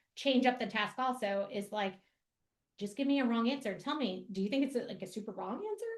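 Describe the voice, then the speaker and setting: The pace is fairly quick. Pitch moves with ordinary variation. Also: woman. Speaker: math education presenter. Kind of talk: educational webinar presentation. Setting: online webinar. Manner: fast; casual, with many fillers.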